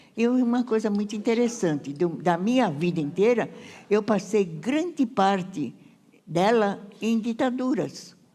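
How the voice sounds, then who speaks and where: Speaking at a fairly slow pace and a medium pitch, a woman uses a dark, mellow tone with lively intonation and very even loudness. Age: 90s. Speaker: retired teacher and senior blogger. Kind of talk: onstage interview. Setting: stage with audience. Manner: halting.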